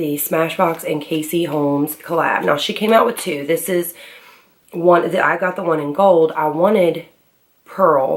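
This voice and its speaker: This woman has an unremarkable speaking voice, pitched fairly low, and talks at a fairly slow pace with fairly even intonation. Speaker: beauty vlogger. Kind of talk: casual talk to camera, product review.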